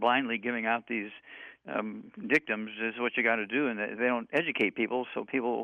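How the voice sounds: Fast talking comes from a man. His pitch sits in the medium range.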